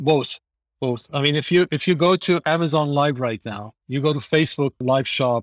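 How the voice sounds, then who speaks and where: A man's unremarkable speaking voice, fairly high-pitched, with ordinary pitch variation and a moderate pace. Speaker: startup CEO. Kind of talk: panel discussion. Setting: online audio room.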